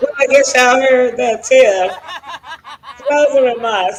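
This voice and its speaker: Animated and fairly high-pitched, a woman with a Tennessee accent talks at a moderate pace with ordinary pitch variation. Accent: Southern US (Tennessee). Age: 70s. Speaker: talk show host. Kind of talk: casual chat. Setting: studio.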